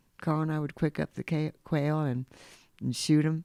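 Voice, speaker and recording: Recorded very cleanly with a silent background and a dry, close sound free of echo, a woman speaks in a very deep, low pitch with a dark, mellow tone and fairly even intonation. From Kansas. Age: 70s. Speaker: lodge manager. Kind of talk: casual interview. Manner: halting.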